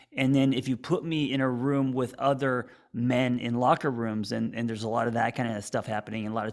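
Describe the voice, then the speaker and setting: A man with an ordinary speaking voice talks at a fairly quick pace with fairly even intonation. The recording is very clean, with a silent background. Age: 40s. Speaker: podcast host, therapist. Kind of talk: casual chat.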